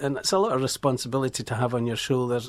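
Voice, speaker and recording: A man's medium-pitched voice with a Scottish accent at a very fast pace, on a very clean recording with a silent background. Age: 60s. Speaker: musician. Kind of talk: radio interview. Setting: radio studio.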